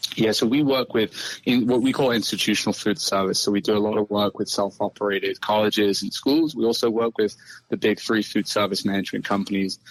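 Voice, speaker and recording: A man with a British accent and fairly low pitch speaks at a very fast pace with fairly even intonation and very even loudness, in a dry, close sound with no echo. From UK. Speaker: farming tech co-founder. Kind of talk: interview.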